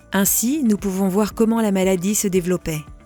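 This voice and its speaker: Music plays in the background as the speaker goes at a fairly slow pace, pitch shifting in an ordinary way. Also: woman. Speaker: voice actor. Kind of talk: software demo explainer narration. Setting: home studio.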